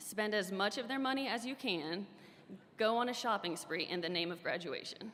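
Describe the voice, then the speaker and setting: This woman has a normal speaking voice, fairly high in pitch, with lively intonation at a moderate pace. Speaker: graduating student speaker. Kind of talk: commencement speech.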